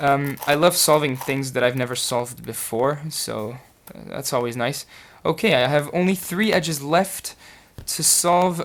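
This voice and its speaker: With a French accent, a man speaks at a fairly slow pace in a fairly high pitch with ordinary pitch variation. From France. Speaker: puzzle solver YouTuber. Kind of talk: casual solve commentary. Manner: hesitant, many fillers.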